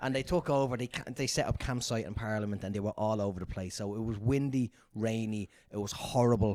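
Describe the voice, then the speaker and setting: At a very fast pace, a man talks at medium pitch with ordinary pitch variation and a dark, mellow tone, on a very clean recording with a silent background. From Dublin, Ireland. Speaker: stand-up comedian and quiz master. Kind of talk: casual podcast storytelling.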